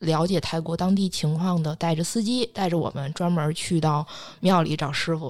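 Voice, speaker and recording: A woman talks at a moderate pace in a normal speaking voice, fairly low in pitch with ordinary variation. The recording is very clean, with a silent background. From China. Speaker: astrologer. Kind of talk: casual podcast chat, storytelling.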